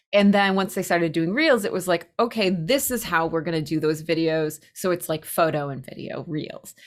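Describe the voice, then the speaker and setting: A woman with a slight New England accent, fairly low pitch and ordinary pitch variation, on a very clean recording with a silent background. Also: moderate pace, hardly any pauses. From Massachusetts, US (Spencer, near Worcester). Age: 40s. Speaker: pottery teacher and maker. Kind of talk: casual interview chat.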